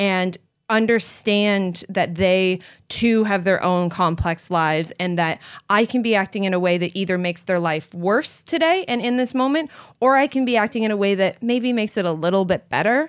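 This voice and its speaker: A woman with an unremarkable speaking voice at medium pitch, with lively intonation, very even loudness and a moderate pace, in a very clean recording with a silent background. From Canada. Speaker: vegan entrepreneur and author. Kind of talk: interview conversation. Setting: in-person recording.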